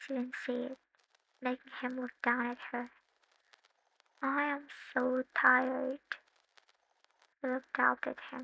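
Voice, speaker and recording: A woman's raised, projected voice, high-pitched with a bright, sharp tone and a non-native accent, in a monotone, flat intonation at a very slow pace with long, frequent pauses, in a dry, close sound with no echo. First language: not English. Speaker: fanfiction voice-over narrator. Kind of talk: read romance fanfiction story.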